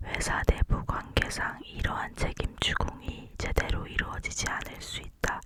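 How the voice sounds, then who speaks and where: A voice whispers at a fairly slow pace with hardly any pauses. There is noticeable background noise. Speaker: law student. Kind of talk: ASMR textbook reading. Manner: whispered.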